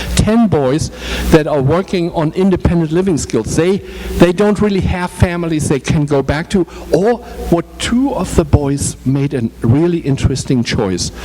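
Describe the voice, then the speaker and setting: With noticeable background noise behind him, a man speaks in a German accent. His pitch is fairly high and his intonation lively. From Germany. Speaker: social services executive director. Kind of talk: informational talk with Q&A. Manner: halting, many fillers and repetitions.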